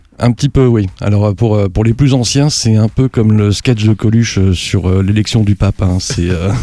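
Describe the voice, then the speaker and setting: Here is a man with an unremarkable speaking voice, fairly low in pitch, at a moderate pace. He keeps very even loudness and fairly even intonation, with hardly any pauses. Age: 50s. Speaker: aeroclub president and private pilot. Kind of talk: podcast interview.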